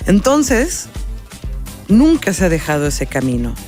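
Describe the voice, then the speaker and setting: Background music plays while a woman talks. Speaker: radio announcer and documentary film producer. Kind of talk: interview answer.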